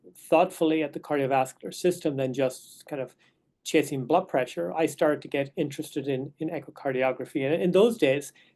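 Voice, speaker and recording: A man speaks in an Irish accent at a fairly high pitch. The background stays quiet. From west of Ireland. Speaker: neonatologist. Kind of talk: lecture. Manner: hesitant, with fillers and repeated words.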